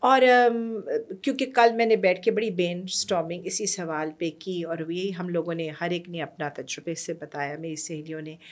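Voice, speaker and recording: A woman with a Persian accent speaks at a fairly low pitch and a fairly slow pace, with hardly any pauses. Her pitch varies in an ordinary way while her loudness swings widely. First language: Persian (speaking Hindi). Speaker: storyteller and educator; podcast guest, educator, storyteller. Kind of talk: interview conversation. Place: studio. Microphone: studio mic.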